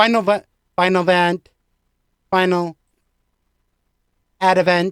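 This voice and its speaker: A put-on robotic character voice that sounds female, with medium pitch, monotone, flat intonation, a fairly slow pace and long, frequent pauses. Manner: mechanical.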